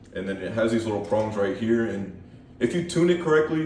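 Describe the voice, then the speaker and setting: Shaky and at medium pitch, a man talks at a moderate pace with ordinary pitch variation and audible room echo. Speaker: gun collection YouTuber. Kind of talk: casual show-and-tell. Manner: hesitant, many ums; shaky voice.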